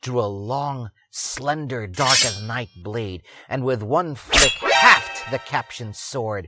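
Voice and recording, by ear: Text is read aloud in a natural voice, its pitch rising and falling in an ordinary way.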